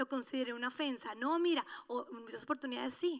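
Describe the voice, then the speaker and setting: The pace is fairly quick. Pitch rises and falls in an ordinary way. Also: woman. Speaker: pastor. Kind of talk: sermon. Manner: animated.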